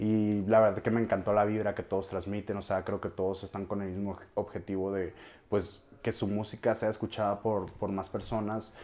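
This man's voice sits fairly low, with a dark, mellow tone. His intonation stays monotone and flat. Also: moderate pace. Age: 20s. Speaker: music producer. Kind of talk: interview.

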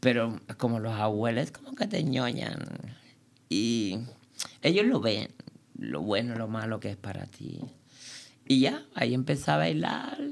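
Using a Cuban accent, a woman with a very deep, low pitch and vocal fry talks with lively intonation and big swings in loudness at a fairly slow pace with long, frequent pauses. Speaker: dancer. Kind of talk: interview.

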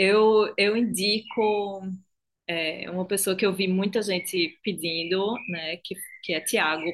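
The intonation is fairly level. The delivery is very slow. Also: woman, medium pitch for a woman. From Recife, Brazilian Northeast. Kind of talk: casual chat.

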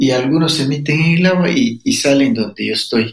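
A fairly high-pitched, somewhat breathy man's voice at a moderate pace, with very wide pitch swings. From Ecuadorian Amazon, Sapara people. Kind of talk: interview.

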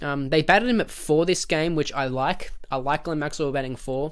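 A man speaks quite quickly in an Australian accent, at a fairly high pitch. The recording is very clean, with a silent background. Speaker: podcast host. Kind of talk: unscripted solo rant about cricket. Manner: rambling, passionate.

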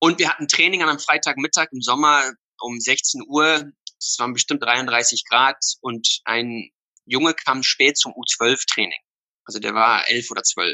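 Using a normal speaking voice, a man talks at a fairly slow pace and a medium pitch with ordinary pitch variation. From South Africa, Somerset West (German-speaking family). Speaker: youth football academy founder. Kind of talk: interview.

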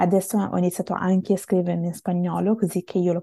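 Her voice is fairly low, somewhat breathy and dark, mellow in tone. This woman speaks at a fairly quick pace with fairly even intonation against a quiet background. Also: dry, close sound with no echo. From Italy. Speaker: multilingual language learner. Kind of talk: interview. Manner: hesitant, with fillers.

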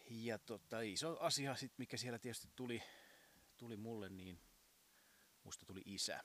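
At a moderate pace broken by long, frequent pauses, a man talks at a medium pitch with ordinary pitch variation. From southern Finland, Uusimaa region. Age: 40s. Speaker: podcast host, masseur and piano tuner. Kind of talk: casual monologue. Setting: outdoors on home terrace.

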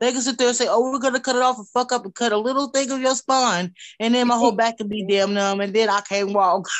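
The speaker has an American accent and a very fast pace. Intonation stays fairly even throughout. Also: woman. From Wichita, Kansas, US. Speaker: rapper. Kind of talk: casual interview.

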